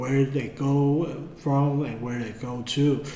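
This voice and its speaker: A man with a Mandarin accent speaks at a very slow pace and medium pitch. Audible room echo and noticeable background noise fill the recording. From Taiwan. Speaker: art tutor. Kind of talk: tutorial. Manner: halting.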